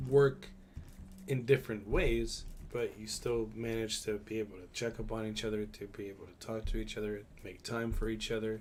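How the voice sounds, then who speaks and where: This is a man's voice at medium pitch. The room echo is audible. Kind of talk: casual chat.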